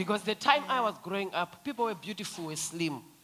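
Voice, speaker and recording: Against crowd noise in the background, a woman with a fairly high pitch speaks in an animated tone with very wide pitch swings. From Zimbabwe. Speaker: feminist activist. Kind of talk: panel discussion.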